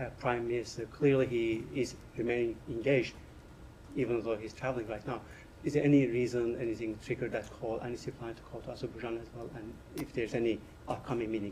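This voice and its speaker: A very fast, monotone, flat delivery over noticeable background noise. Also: man, medium pitch for a man. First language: not English. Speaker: journalist. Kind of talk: press briefing question. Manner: halting.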